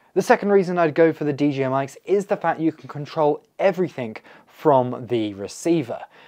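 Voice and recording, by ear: A man's fairly high voice at a fairly quick pace, slightly mellow in tone. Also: ordinary pitch variation.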